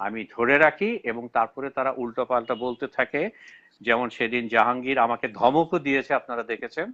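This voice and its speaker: A man with a Bangladeshi accent talks in a medium pitch with ordinary pitch variation. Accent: Bangladeshi Bengali. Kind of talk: live online debate. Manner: halting, with frequent self-corrections.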